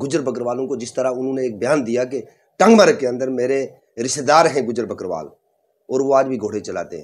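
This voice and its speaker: A man talks at a moderate pace with a medium pitch. His intonation is lively. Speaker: community leader. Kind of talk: political statement to press. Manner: animated.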